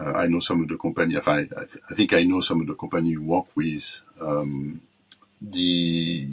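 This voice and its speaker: A man talks with a French accent. His pitch is very deep and low. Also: fairly even intonation, moderate pace. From France. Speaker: corporate talent management executive. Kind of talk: interview. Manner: halting, many fillers and repetitions.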